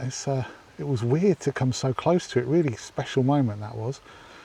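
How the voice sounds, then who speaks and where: Someone with an English accent talks at a moderate pace with ordinary pitch variation. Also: man. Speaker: wildlife photographer vlogger. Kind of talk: casual vlog narration. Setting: outdoors. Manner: whispering.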